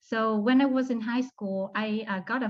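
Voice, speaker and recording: In a Vietnamese accent, a woman speaks at a moderate pace with a fairly high pitch. Her voice is somewhat breathy, her intonation fairly even, and the background quiet. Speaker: law student. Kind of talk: testimony. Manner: hesitant, with frequent fillers.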